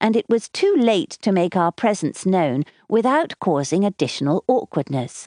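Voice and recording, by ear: Someone is reading aloud. The voice sounds natural.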